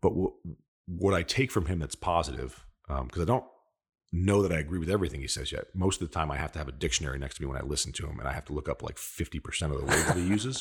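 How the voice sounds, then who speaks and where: On a very clean recording with a silent background, a man talks at a very fast pace. His very deep, low voice carries vocal fry. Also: lively intonation. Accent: American. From upstate New York, Hudson Valley. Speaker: sales leader. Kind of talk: interview. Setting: studio.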